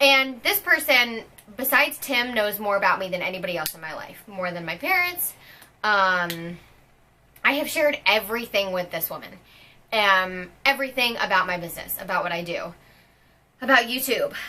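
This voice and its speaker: Over noticeable background noise, a woman with a fairly high pitch talks with very wide pitch swings, big swings in loudness and long, frequent pauses. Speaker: fitness coach and vlogger. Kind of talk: personal vlog. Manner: fast.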